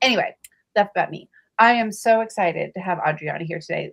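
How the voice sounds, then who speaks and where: With a plain, everyday voice and an American accent, a woman talks at a fairly quick pace. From Virginia. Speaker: romance author, book club co-host. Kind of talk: casual live chat.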